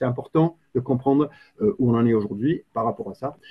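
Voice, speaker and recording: A man with a British accent speaks at medium pitch and a moderate pace. His voice is somewhat breathy with lively intonation. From Britain. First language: English (speaking French). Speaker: climate policy expert. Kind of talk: webinar presentation. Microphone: too quiet, computer mic.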